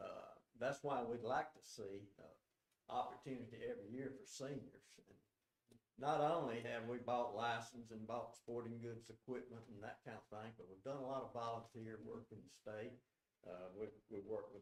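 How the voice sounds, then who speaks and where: Speaking at a moderate pace with a Southern US accent, a man with a medium-pitched voice keeps his intonation fairly even while his loudness swings widely. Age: 70s. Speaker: senior hunter addressing commission. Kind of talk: public comment.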